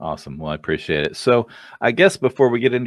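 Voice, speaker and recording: A man at medium pitch with vocal fry, talking at a very fast pace. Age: 50s. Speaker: podcast host. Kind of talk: interview. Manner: hesitant, frequent fillers.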